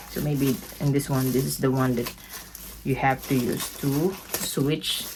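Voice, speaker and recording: A woman with a Filipino accent speaks at a very deep, low pitch, with noticeable background noise behind her. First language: Tagalog. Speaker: beauty vlogger. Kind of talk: product unboxing review. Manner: animated.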